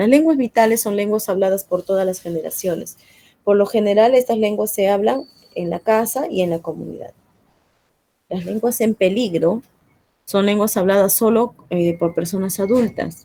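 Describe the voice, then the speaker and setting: In an Andean accent, a woman talks at a moderate pace and medium pitch, with ordinary pitch variation and a dark, mellow tone. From Peru, central jungle (Satipo), Andean parents. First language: Quechua (speaking Spanish). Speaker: teacher. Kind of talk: classroom lesson. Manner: hesitant, many fillers.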